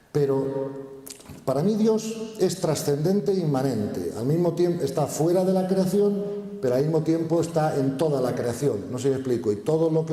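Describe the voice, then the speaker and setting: Heard with audible room echo and noticeable background noise, a man speaks at a fairly high pitch with ordinary pitch variation and very even loudness. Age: 60s. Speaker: spiritual speaker. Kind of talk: conference Q&A. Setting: stage with audience.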